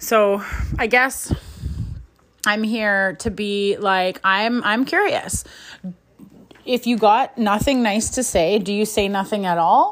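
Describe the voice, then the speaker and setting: A woman speaks at a very slow pace with long, frequent pauses. Her pitch is fairly high and varies in an ordinary way. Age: 30s. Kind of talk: solo podcast rant. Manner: blunt, outspoken, heated; rambling, conversational, profane.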